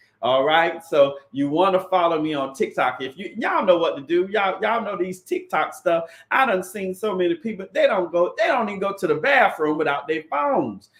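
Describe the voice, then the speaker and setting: An animated, high-pitched man's voice at a fairly quick pace with hardly any pauses. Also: lively intonation. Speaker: credit repair consultant and livestream host. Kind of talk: live stream talk. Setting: livestream on YouTube and Facebook. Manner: fast.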